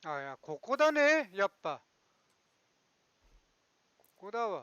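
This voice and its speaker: Someone with a Tochigi accent speaks at a very slow pace. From Tochigi, Japan. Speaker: game streamer. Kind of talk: casual let's play commentary.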